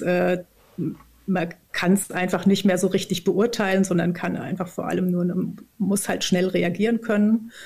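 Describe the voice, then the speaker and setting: Recorded very cleanly against a silent background, a woman speaks at medium pitch and a fairly slow pace, somewhat breathy, with a dark, mellow tone and monotone, flat intonation. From southern Odenwald, Germany. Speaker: organisational consultant and author. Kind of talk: casual interview.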